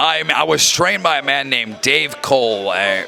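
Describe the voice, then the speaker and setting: The man talks in an American accent. Behind him, music can be heard. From Rhode Island, US. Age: 20s. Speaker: professional wrestler. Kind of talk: backstage interview. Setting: backstage at wrestling show.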